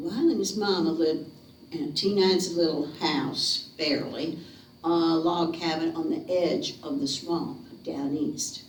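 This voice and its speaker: At a fairly slow pace, a woman talks with a Southern US accent in a fairly low pitch. Her pitch variation is ordinary, and there is noticeable background noise. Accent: Southern American. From North Carolina. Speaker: storyteller. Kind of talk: ghost story telling to a live audience. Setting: living room. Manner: theatrical, lively.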